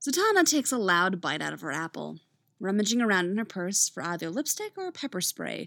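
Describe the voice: Against a quiet backdrop, the text is read aloud plainly.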